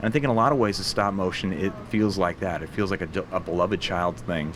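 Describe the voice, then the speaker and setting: Speaking very fast, a man with an American accent uses a very deep, low pitch. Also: ordinary pitch variation. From Portland, Oregon. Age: 40s. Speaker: animation studio CEO and film director. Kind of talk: interview answer.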